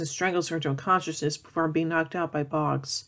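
The speaker moves at a fairly quick pace. The background is quiet. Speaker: film series reviewer. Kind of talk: plot summary commentary. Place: home room. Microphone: webcam.

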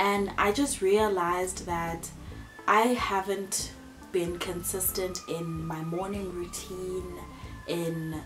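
A woman speaks at a very slow pace with fairly even intonation over clear background music. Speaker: vlogger. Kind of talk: casual vlog chat. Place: home room. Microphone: camera far.

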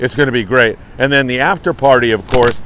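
At a moderate pace, a man speaks in a dry sound with no echo, over light background noise. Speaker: fishing report host. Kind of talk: casual morning news briefing to camera. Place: beach. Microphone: phone near.

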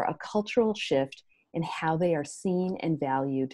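Over a quiet background, a woman speaks with a fairly low pitch and a dark, mellow tone. Her intonation is lively and her pace moderate. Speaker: podcast host. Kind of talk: podcast intro reading guest bio. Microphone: earbuds.

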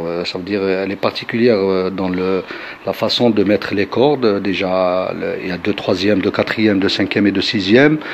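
Moderate pace, with noticeable background noise. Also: man. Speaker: chaabi musician. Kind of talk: interview. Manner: halting, many hesitations.

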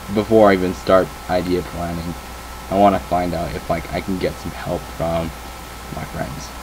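At a moderate pace, a man speaks with a very deep, low voice and fairly even intonation, leaving long, frequent pauses amid noticeable background noise. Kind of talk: casual vlog chat. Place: home room. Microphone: webcam.

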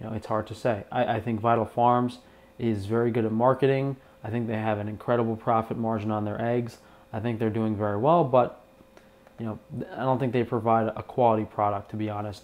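Here a man speaks at a fairly quick pace with monotone, flat intonation. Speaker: egg seller comparing products. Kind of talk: casual product comparison talk. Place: kitchen.

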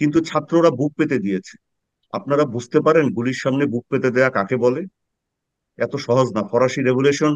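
Against a quiet background and in a dry sound with no echo, a man speaks at a fairly high pitch with ordinary pitch variation. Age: 50s. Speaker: political commentator, former military officer; political commentator. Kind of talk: panel discussion. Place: home room. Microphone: webcam.

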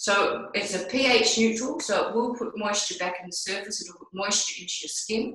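In a room with audible echo and a quiet background, a woman speaks with ordinary pitch variation. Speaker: product demonstrator. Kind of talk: tutorial. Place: bathroom. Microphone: video call.

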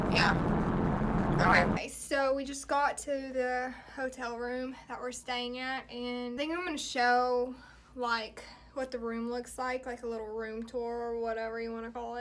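The speech is fairly slow, with a monotone, flat intonation. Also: woman, high pitch for a woman. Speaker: vlogger. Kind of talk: casual vlog talk to camera. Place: home room. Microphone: phone near.

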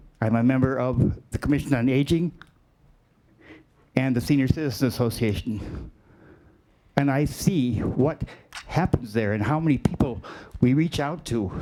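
Long, frequent pauses break up a man's speech. Behind him, background noise is noticeable. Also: medium pitch for a man, ordinary pitch variation, moderate pace. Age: 60s. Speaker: senior center advocate speaking at public comment. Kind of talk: public comment.

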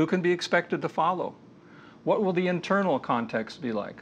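With vocal fry and very wide pitch swings, a man speaks over light background noise. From US, moved among several states. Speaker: lecturer on leadership. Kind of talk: lecture. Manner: measured, with filler hesitations. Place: studio. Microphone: lapel.

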